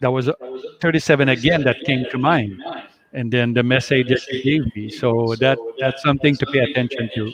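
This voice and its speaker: In a Quebec accent, a man talks at a fairly quick pace. His pitch is medium and his intonation fairly even. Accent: French Canadian accent in English. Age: 60s. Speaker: life coach. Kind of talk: interview. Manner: halting.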